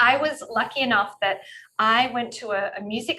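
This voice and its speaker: Bright and sharp in tone, a woman with an Australian accent talks at a moderate pace with lively intonation. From rural Australia. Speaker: sexologist and couples therapist. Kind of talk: interview. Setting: video call.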